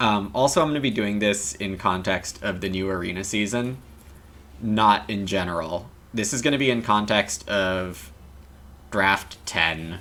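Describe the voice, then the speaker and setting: Bright and sharp in tone, a man speaks at a fairly slow pace. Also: fairly low pitch for a man, ordinary pitch variation. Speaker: game streamer. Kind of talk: casual livestream commentary. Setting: live stream with chat. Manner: soft-spoken, quieter to save voice.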